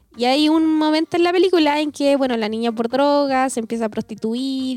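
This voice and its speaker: With a Chilean accent, a woman talks at a very fast pace in a high pitch with lively intonation, the sound dry and close with no echo but with noticeable background noise. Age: 20s. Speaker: podcast co-host. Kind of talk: casual chat.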